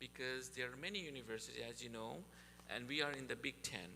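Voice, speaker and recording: A man's medium-pitched voice with audible room echo. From Nepal. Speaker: university sustainability speaker. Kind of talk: presentation to a church group.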